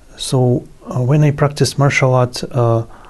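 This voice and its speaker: A man with a Russian accent, very slow pace, ordinary pitch variation, and noticeable background noise. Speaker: yoga guru. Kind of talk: interview. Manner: halting, many fillers.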